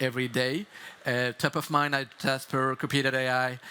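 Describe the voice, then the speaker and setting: The voice has a non-native accent and a bright, sharp tone. Its intonation is fairly even. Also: man. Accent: non-native English speaker. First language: French. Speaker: startup founder giving keynote. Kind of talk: conference keynote. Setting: stage with audience. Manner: halting, many fillers and restarts.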